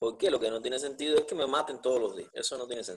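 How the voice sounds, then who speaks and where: A man uses an ordinary speaking voice at medium pitch with ordinary pitch variation. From Cuba. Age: 40s. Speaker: jurist, podcast co-host. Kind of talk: conversational debate.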